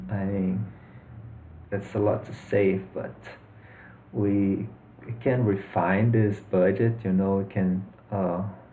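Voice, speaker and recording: With a Brazilian accent, a man speaks at a very slow pace in a dark, mellow, somewhat breathy tone, his pitch fairly low and his intonation fairly even, leaving long, frequent pauses amid audible room echo. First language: Portuguese. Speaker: personal finance youtuber. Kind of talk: tutorial. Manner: hesitant, with fillers and repeats.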